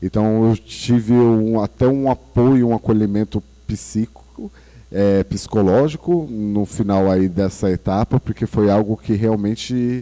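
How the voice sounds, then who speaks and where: Fairly low and dark, mellow in tone, a man's voice keeps fairly even intonation at a fairly slow pace. The sound is dry and close, with no echo. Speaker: nurse. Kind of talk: casual chat.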